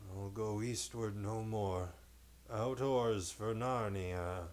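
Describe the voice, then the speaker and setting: A man's put-on character voice, fairly low and mumbling, very slow with fairly even intonation, over clear background noise. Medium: read story. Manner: sleepy, mumbling.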